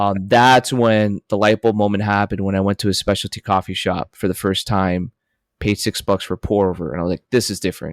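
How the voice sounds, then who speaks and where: A man's normal speaking voice, fairly low-pitched with fairly even intonation, at a fairly quick pace, in a very clean recording with a silent background and a dry, close sound with no echo. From Miami, Florida (Colombian-American family). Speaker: coffee company founder, former marine. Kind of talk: podcast interview.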